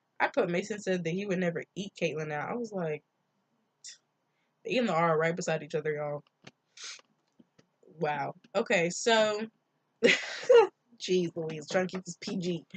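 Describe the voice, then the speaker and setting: A woman with a fairly low, somewhat breathy voice talks at a moderate pace, leaving long, frequent pauses. Her pitch varies in an ordinary way, and the sound is dry and close with no echo. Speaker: TV show recap vlogger. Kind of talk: casual chat. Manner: animated.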